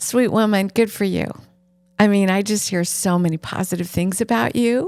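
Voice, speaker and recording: Her pace is moderate. The woman's pitch shifts in an ordinary way. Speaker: sex therapist and podcast host. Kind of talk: advice Q&A. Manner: animated.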